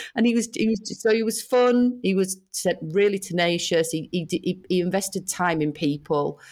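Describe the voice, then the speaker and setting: A woman speaks in a British accent at medium pitch, a moderate pace, with ordinary pitch variation and hardly any pauses. Her loudness stays very even on a very clean recording with a silent background. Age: 40s. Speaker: head of marketing at a food brand. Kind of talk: interview conversation.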